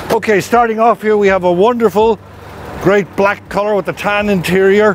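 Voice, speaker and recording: A man's high-pitched voice at a moderate pace, fairly even in intonation, over noticeable background noise. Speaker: auctioneer presenting sale lots. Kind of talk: auction preview presentation.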